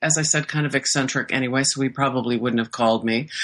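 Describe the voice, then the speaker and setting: A woman with a Midwestern accent. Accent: General American (Midwest). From US Midwest, Iowa. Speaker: novelist. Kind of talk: interview.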